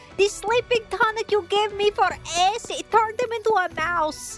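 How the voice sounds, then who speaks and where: At a moderate pace, a put-on character voice with extremely high pitch speaks over clear music in the background. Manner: anxious, urgent.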